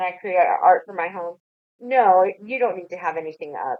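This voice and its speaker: A medium-pitched female voice. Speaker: tax agency outreach officer. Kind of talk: online webinar Q&A. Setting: online webinar with chat. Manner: fast.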